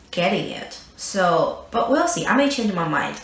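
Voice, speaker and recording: A woman with a non-native accent talks at a moderate pace and medium pitch, with audible room echo and noticeable background noise. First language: not English. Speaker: beauty youtuber. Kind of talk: product review. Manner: hesitant with fillers.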